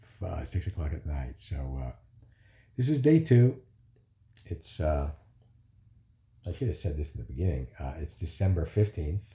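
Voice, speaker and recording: A man speaks at a moderate pace in a very deep, low pitch. His tone is dark and mellow, and somewhat breathy. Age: 60s. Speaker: vlogger recovering from surgery. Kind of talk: casual video diary. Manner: hesitant, many fillers.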